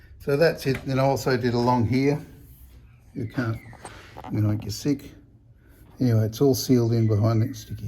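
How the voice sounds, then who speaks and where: Mumbling at a moderate pace with long, frequent pauses, a man talks at a medium pitch with fairly even intonation. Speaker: car restoration hobbyist. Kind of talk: casual workshop vlog. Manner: halting.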